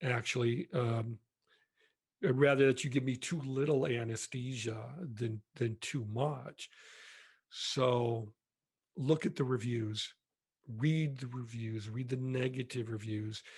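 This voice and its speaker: A man speaks very slowly at a medium pitch, leaving long, frequent pauses. His intonation is fairly even and his voice somewhat breathy. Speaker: retired marketing executive. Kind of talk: casual chat.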